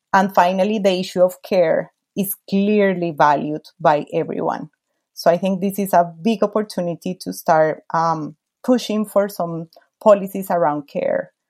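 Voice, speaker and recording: Speaking at a moderate pace in a Spanish accent, a woman with a medium pitch keeps her intonation fairly even. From Colombia. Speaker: lawyer and women's rights advocate. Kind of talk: interview.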